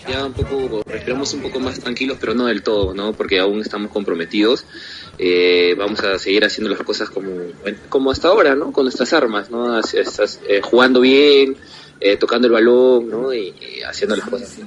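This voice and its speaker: Noticeable background noise fills the recording. Through it, a man talks at medium pitch. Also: ordinary pitch variation, moderate pace. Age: young. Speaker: football goalkeeper. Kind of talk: interview.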